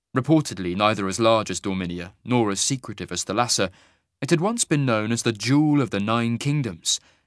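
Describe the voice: Over a quiet background, the speaker reads plainly aloud with lively intonation.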